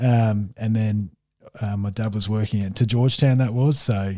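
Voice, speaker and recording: A man with an Australian accent speaks at a fairly low pitch in a dark, mellow tone, captured on a very clean recording with a silent background. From Tasmania. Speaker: football player. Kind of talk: interview. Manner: halting.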